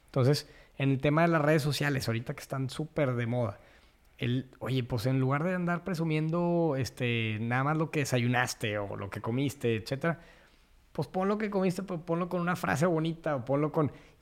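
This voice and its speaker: Fairly high in pitch, a man with an unremarkable speaking voice speaks at a moderate pace with ordinary pitch variation. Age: 30s. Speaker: landscaper and biophilia advocate. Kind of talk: casual interview.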